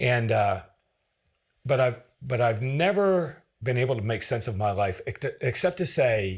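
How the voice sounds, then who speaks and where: Somewhat breathy and fairly slow, the speaker talks with an American accent. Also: man, very clean recording, silent background. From northern New Hampshire, US. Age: 60s. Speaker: former federal agent and author. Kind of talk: interview conversation. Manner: halting, repeats words.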